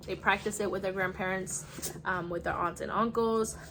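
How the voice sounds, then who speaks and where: Over noticeable background noise, a woman with a Spanish accent speaks at a medium pitch in a monotone, flat intonation. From United States. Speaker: homeschooling mom vlogger. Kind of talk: casual vlog show-and-tell. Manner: casual with frequent fillers.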